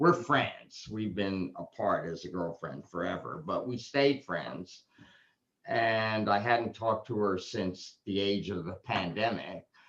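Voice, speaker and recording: A man with an American accent speaks with lively intonation. His pitch is fairly low. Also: fairly slow pace. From New York City (Manhattan). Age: 60s. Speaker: essential oils distributor leading a team meeting. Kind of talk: casual group video call. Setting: video call. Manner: casual, halting with fillers.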